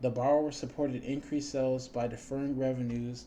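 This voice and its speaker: A man's dark, mellow voice holds a monotone, flat intonation, with audible room echo. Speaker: teacher. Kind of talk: lecture.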